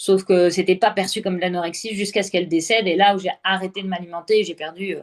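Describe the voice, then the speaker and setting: A woman of medium pitch talks at a very fast pace with hardly any pauses, in a monotone, flat intonation. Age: 30s. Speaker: entrepreneur sharing her health story. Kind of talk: interview testimony.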